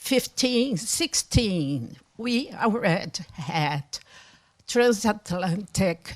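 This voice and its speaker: Speaking very slowly with a Brazilian Portuguese accent, a woman uses a medium pitch that swings very widely. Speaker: historian, professor. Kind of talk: academic panel discussion.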